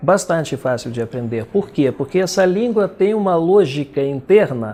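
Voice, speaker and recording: Speaking at a moderate pace with a Russian accent, a man has a high voice with a dark, mellow tone and lively intonation. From Belarus. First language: Russian (speaking Portuguese). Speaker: poet and translator. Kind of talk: interview.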